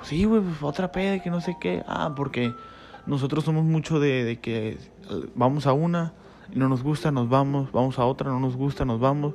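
A man talks at a moderate pace with a Mexican accent. Noticeable background noise sits behind him. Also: fairly high pitch for a man, ordinary pitch variation. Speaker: podcaster. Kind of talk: storytelling monologue. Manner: halting.

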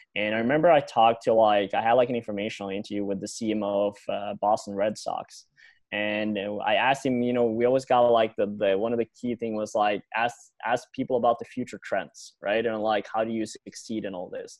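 A man talks fairly quickly in an unremarkable speaking voice. His pitch sits in the medium range and his intonation stays fairly even. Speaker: podcast host. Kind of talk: casual interview. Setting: video call.

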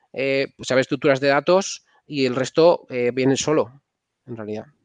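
An unremarkable speaking voice moves at a moderate pace with ordinary pitch variation. The sound is dry and close, with no echo. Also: man. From Spain, Castile and León. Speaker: software engineer and startup founder. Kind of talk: casual interview.

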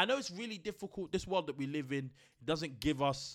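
In a very clean recording with a silent background, a man with a London accent talks at a very fast pace in a fairly high pitch, with lively intonation and an animated tone. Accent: London multicultural English. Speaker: podcast co-host. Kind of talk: casual chat.

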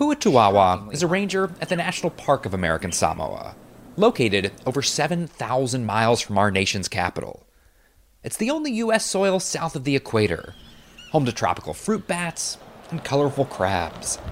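With vocal fry and a fairly high pitch, a man's voice moves through very wide pitch swings. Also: moderate pace. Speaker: TV news correspondent. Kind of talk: scripted news narration.

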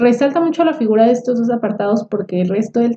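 Somewhat breathy, a woman speaks in a dark, mellow tone. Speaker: podcast co-host. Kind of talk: casual book discussion.

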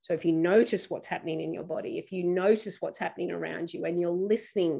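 A woman speaks with an Australian accent. Her voice sits at a medium pitch. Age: 50s. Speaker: youth education program founder. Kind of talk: interview conversation.

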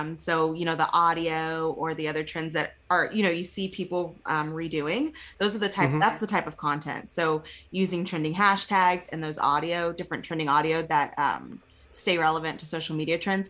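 Fairly low for a woman, a bright, sharp tone with a slight Texas accent, moderate pace and fairly even intonation, in a very clean recording with a silent background. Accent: slight Texas twang. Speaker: podcast co-host.

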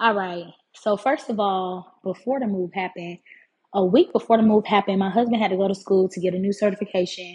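A somewhat breathy woman's voice at medium pitch and a fairly quick pace. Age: 20s. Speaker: podcaster. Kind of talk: casual monologue. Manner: animated. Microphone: phone and AirPods.

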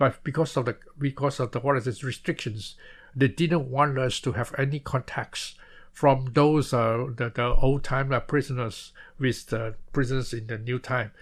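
A somewhat breathy, medium-pitched man at a moderate pace, with fairly even intonation, on a very clean recording with a silent background. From Malaysia. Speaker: former political prisoner, author. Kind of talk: interview testimony. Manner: halting.

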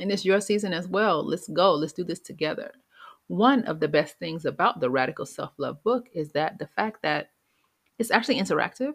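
Over a very clean recording with a silent background, a woman speaks in an ordinary speaking voice. Her medium pitch carries lively intonation. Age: 30s. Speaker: podcast host and public health communicator. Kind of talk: solo podcast monologue.

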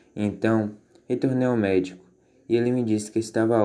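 Dark, mellow male voice at a fairly low pitch. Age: 20s. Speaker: anorexia survivor. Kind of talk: testimony. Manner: scripted, formal.

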